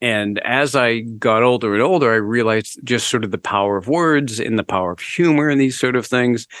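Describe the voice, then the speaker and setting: In a plain, everyday voice, a man speaks at a medium pitch and a fairly quick pace with ordinary pitch variation, on a very clean recording with a silent background. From United States (born in Canada). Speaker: author, former radio DJ and stand-up comedian. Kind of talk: interview conversation.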